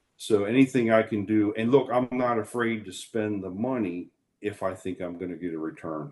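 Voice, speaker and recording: A man with a plain, everyday voice, fairly low in pitch, with ordinary pitch variation and a moderate pace. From Maryland, USA. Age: 50s. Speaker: farmer. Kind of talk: interview answer.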